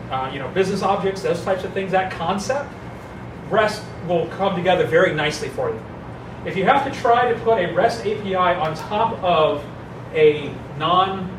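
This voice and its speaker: With noticeable background noise and audible room echo, a man speaks in a high voice with ordinary pitch variation. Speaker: software developer presenting at a meetup. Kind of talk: technical presentation. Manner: fast.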